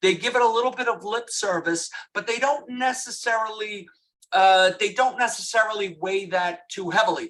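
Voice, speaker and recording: A man speaks at a moderate pace. His pitch is high for a man. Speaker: lawyer. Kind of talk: webinar presentation. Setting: webinar.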